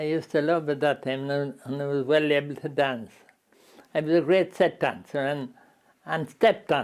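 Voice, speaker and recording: With an Irish Midlands accent, a man speaks in a fairly high pitch and fairly even intonation. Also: moderate pace. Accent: rural Irish Midlands. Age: 80s+. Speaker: interviewee. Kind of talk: interview. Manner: halting.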